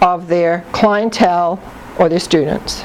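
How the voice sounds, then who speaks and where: A woman talks over noticeable background noise. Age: 60s. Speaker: psychic life consultant. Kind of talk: talk to audience.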